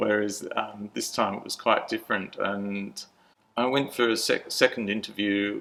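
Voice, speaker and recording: This man has an Australian accent. He talks at a moderate pace. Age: 60s. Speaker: churchgoer sharing life story. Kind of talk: interview testimony. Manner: halting.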